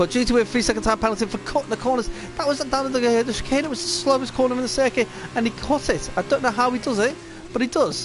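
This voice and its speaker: Amid noticeable background noise, a man with an extremely high pitch talks at a very fast pace with ordinary pitch variation. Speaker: esports race commentator. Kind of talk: live commentary. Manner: halting, frequent self-corrections; excited.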